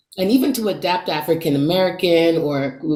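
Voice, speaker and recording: A woman with a Jamaican accent at a moderate pace, with audible room echo and noticeable background noise. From Jamaica, Saint Ann. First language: Jamaican Patois. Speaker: actor. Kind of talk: interview.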